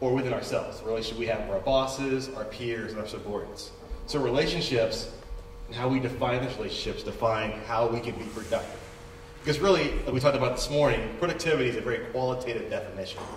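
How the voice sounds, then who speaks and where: A man talks at a very fast pace. The room echo is audible and the background noise noticeable. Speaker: conference group presenter. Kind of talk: conference presentation.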